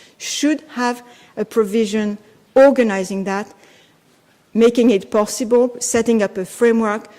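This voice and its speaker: Her pitch fairly high and her intonation fairly even, a woman speaks at a moderate pace. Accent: French. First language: French. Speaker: law professor. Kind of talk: conference talk. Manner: hesitant, with fillers.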